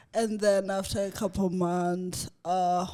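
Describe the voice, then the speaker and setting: Behind a woman's speech, music can be heard. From Zimbabwe. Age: 20s. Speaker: fitness coach and finance officer. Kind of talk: podcast interview.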